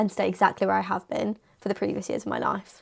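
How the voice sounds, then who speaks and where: A woman speaks at a very fast pace in an animated tone. The recording is very clean, with a silent background. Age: 20s. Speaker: lifestyle vlogger. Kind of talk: casual Q&A vlog.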